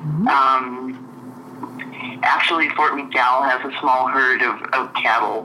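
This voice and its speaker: Over noticeable background noise and audible room echo, a woman speaks very slowly with hardly any pauses, her very deep, low voice monotone and flat. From Central California coast. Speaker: journalist. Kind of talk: interview. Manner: halting, repeats words.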